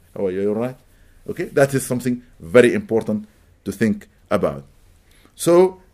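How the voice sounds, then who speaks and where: Speaking with an Arabic accent, a man at a medium pitch moves at a fairly quick pace with very wide pitch swings. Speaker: imam. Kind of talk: religious lecture. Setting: mosque gathering.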